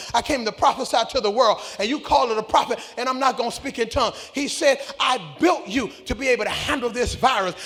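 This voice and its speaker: Over noticeable background noise, a man with an extremely high pitch and an animated tone speaks at a fairly quick pace, with ordinary pitch variation and hardly any pauses. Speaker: pastor. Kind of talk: sermon.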